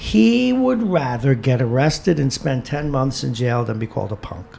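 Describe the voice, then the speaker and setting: A man at medium pitch talks at a moderate speed, his pitch moving in a typical way, against noticeable background noise. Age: 60s. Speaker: radio host. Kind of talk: casual chat. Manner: animated.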